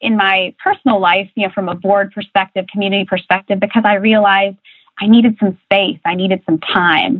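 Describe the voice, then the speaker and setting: A woman speaks with a Midwestern American accent. Her pace is moderate. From US Midwest (rural Ohio). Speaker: corporate coaching director. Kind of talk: interview.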